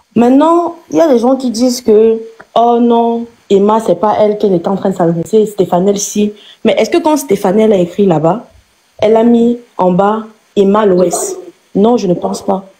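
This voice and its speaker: Someone speaks at a moderate pace with a Cameroonian accent. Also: woman, fairly high pitch for a woman, lively intonation. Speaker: live stream participant. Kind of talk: heated debate. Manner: animated; halting, many repetitions.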